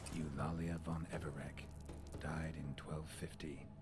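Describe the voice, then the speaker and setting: A man's put-on character voice at a moderate pace, set against loud background noise. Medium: video game. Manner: terse, dry, low-key.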